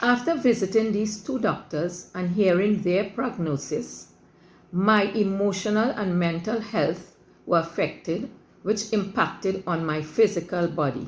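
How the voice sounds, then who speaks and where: A woman with a somewhat breathy voice speaks at a fairly slow pace, her medium pitch showing ordinary variation. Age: 70s. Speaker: patient giving a testimonial. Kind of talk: testimony. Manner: formal.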